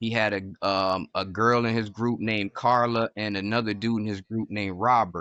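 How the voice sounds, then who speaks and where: With an American accent, a man speaks at a moderate pace in a normal speaking voice, his medium pitch and fairly even intonation heard in a dry, close sound with no echo against a quiet background. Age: 40s. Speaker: music producer. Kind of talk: casual chat.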